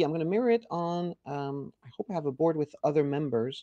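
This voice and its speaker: Here a man speaks at a fairly high pitch in an animated tone. The sound is dry and close, with no echo. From France or French-speaking Quebec. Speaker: software company CEO. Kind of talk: product demo.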